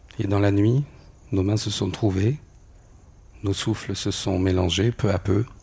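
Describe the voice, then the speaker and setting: Somewhat breathy and dark, mellow in tone, a man speaks at a fairly low pitch and a fairly slow pace with fairly even intonation and long, frequent pauses. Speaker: storyteller. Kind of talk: personal testimony.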